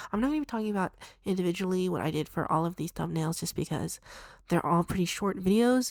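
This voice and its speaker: Words come at a very fast pace with ordinary pitch variation. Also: woman. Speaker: artist and YouTuber. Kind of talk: casual talk to camera.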